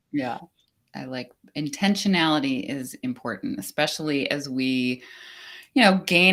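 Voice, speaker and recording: A woman speaks with an American accent at a fairly slow pace, her pitch very deep and low. The recording is very clean, with a silent background. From United States, Czech immigrant family. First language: Czech. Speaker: business coach. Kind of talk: casual interview chat.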